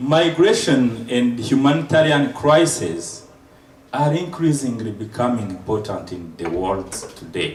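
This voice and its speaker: With a non-native accent, a man speaks in very wide pitch swings, and the room echo is audible. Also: medium pitch for a man, fairly slow pace. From Rwanda. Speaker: surgeon and lecturer. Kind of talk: lecture.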